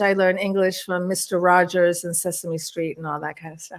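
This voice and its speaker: Her intonation is monotone and flat. The woman speaks at a medium pitch and a moderate pace. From Washington DC area, born in Turkey. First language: Turkish. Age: 60s. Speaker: UFO experiencer and author. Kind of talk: interview chat.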